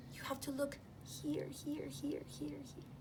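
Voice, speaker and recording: Through loud background noise, a put-on character voice speaks at a fairly slow pace. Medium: read story.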